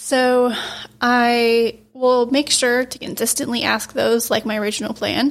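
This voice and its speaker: A soft-spoken woman's high-pitched voice, fairly slow, with monotone, flat intonation. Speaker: podcast host. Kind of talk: interview.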